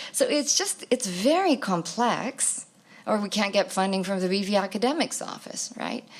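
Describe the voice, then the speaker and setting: The woman's pitch is medium, with ordinary variation. She talks at a fairly slow pace. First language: Greek. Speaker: academic presenter. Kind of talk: Q&A answer at academic symposium. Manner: hesitant, many fillers.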